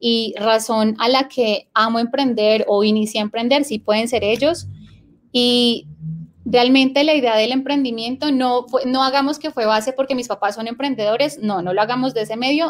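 Fairly even intonation and a high pitch shape a woman's delivery at a moderate pace. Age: 20s. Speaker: entrepreneur, clothing business owner. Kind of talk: interview. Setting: live video stream.

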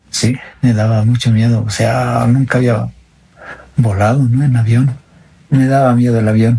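There is noticeable background noise as a man speaks slowly in a monotone, flat intonation at medium pitch, with long, frequent pauses. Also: very even loudness. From Bolivia, northern Potosí mining area. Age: 40s. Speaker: interviewee sharing his life story. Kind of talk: personal testimony interview. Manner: halting.

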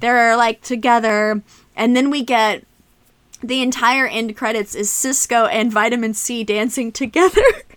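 A woman with an unremarkable speaking voice talks at a fairly slow pace, fairly high in pitch, with fairly even intonation. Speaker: podcast co-host. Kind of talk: casual chat.

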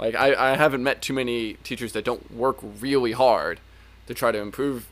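A man with an American accent speaks at a moderate pace in a medium-pitched, monotone voice with flat intonation. The recording is very clean, with a silent background. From Northern Virginia. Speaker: former teacher and podcast host. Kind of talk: casual chat.

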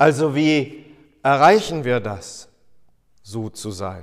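A man speaks with ordinary pitch variation. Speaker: pastor. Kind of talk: sermon. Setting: church. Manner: formal; earnest.

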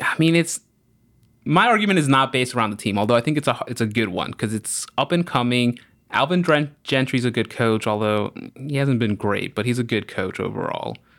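An ordinary speaking voice moves at a fairly quick pace with lively intonation on a very clean recording with a silent background. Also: man, medium pitch for a man. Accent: American. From US South, New Orleans. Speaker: journalist. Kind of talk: casual chat.

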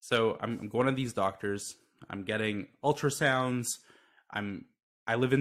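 A man speaks at a moderate pace with fairly even intonation in an ordinary speaking voice. The recording is very clean with a silent background. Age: 20s. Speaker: mental health startup founder. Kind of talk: interview.

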